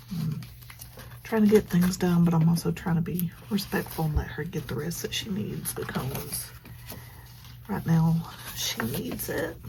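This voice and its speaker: A quiet woman speaks at a fairly slow pace with long, frequent pauses. Noticeable background noise sits behind her. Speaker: planner journaling vlogger. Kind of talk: casual crafting vlog with voiceover chat. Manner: quiet, subdued; hesitant, many fillers.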